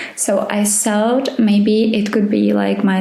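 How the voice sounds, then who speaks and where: A woman's fairly high voice with a non-native accent at a very slow pace, audible room echo and noticeable background noise. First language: not English. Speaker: podcast host. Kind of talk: casual Q&A monologue. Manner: hesitant, many fillers.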